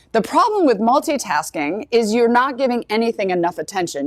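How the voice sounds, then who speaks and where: A woman's animated, fairly high voice at a fairly quick pace with very wide pitch swings. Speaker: dental practice trainer. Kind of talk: live training seminar. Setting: live event with audience. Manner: fast.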